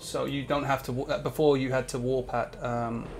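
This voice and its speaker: With an English accent, a man talks fairly quickly at a fairly high pitch, his intonation fairly even against noticeable background noise. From England. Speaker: cloud architect and gamer guest. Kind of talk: casual chat while gaming on stream.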